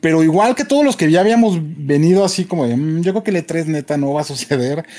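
The voice has a dark, mellow tone, a very fast pace and ordinary pitch variation. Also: man. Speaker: video game show co-host. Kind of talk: casual chat. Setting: remote video call.

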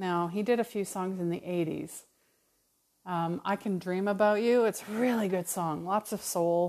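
In a Canadian accent and a normal speaking voice, a woman talks at a fairly slow pace and medium pitch with fairly even intonation, recorded very cleanly against a silent background. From Calgary, Alberta, Canada. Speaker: spiritual mentor, podcast host. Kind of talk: casual solo monologue.

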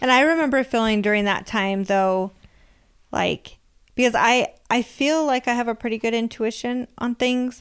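In a very clean recording with a silent background, a woman with a high pitch speaks in an animated tone with ordinary pitch variation. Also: moderate pace. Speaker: podcast host. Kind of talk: casual chat. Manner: animated, laughing.

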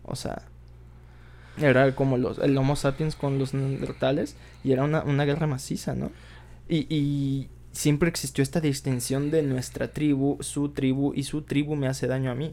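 A man with a dark, mellow tone and a fairly high pitch talks in a monotone, flat intonation at a moderate pace. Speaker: podcast guest. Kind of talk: casual discussion.

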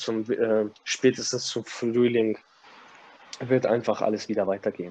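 A man at a medium pitch and moderate pace, flat and monotone in intonation. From Kazakhstan. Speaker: gym manager. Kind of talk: casual interview.

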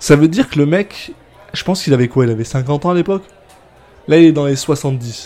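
Over noticeable background noise, a man with a fairly high pitch talks at a fairly quick pace broken by long, frequent pauses. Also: ordinary pitch variation. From France. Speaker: podcast host. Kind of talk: casual chat, gin tasting.

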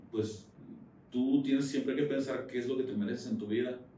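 Audible room echo around a male speaker of medium pitch, with ordinary pitch variation. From Jalisco, Mexico. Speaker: dentist. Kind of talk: interview.

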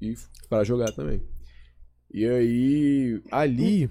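This is a man speaking at medium pitch. His tone is dark and mellow. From Belo Horizonte, Minas Gerais, Brazil. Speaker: event producer. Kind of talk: casual chat.

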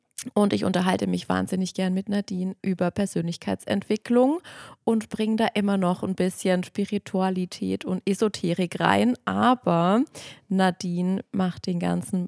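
In a very clean recording with a silent background and a dry, close sound with no echo, a woman speaks at a fairly slow pace in a normal speaking voice. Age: 30s. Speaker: yoga teacher and podcast co-host. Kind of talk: casual podcast introduction.

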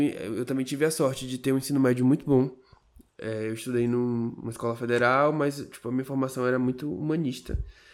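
With an unremarkable speaking voice, a man talks at a fairly quick pace at medium pitch and with fairly even intonation, on a very clean recording with a silent background. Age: 20s. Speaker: podcast co-host. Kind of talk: casual chat.

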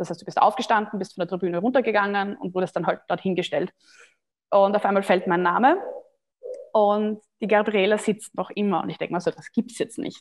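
A woman with an unremarkable speaking voice talks at a fairly quick pace and medium pitch, with ordinary pitch variation. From Austria. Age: 30s. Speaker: CrossFit athlete. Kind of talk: podcast interview.

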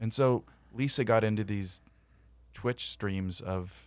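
Very slowly, a man speaks with an American accent at a fairly low pitch. His intonation stays fairly even. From California. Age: 40s. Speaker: podcast co-host. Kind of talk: casual chat.

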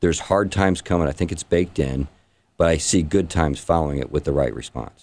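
A man with a very deep, low pitch and vocal fry in a Midwestern American accent, very fast in pace with ordinary pitch variation, on a very clean recording with a silent background. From Indiana, St. Joseph County. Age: 50s. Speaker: congressional candidate. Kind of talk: radio interview.

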